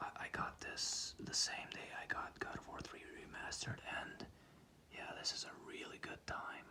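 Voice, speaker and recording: A man is whispering. His pace is moderate. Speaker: ASMR creator. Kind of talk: ASMR whispered sleep video. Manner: whispered, calming.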